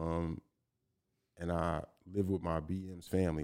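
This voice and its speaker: Over a very clean recording with a silent background, a man speaks at a moderate pace. His very deep, low pitch holds a monotone, flat intonation. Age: 30s. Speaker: rapper. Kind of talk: casual chat.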